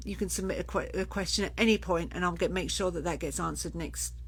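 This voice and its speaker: A woman talks at a fairly quick pace. The room echo is audible. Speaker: children's sleep consultant. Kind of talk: live Q&A. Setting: Facebook live stream. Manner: fast.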